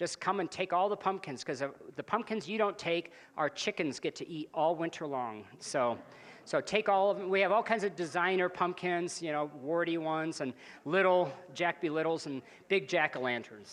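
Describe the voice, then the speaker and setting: The background stays quiet. Speech proceeds at a moderate rate. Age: 60s. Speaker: financial advisor. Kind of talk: seminar presentation. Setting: live seminar with audience. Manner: casual, joking.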